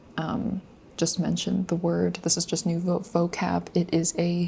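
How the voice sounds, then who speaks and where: Quiet and somewhat breathy, a woman's fairly low voice carries a dark, mellow tone. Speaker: language learner vlogger. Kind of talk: casual study vlog. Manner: hesitant, many fillers.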